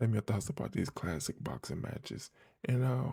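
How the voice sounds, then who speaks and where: A man's dark, mellow voice with vocal fry, fairly quick, dry and close with no echo. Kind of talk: casual commentary to viewers.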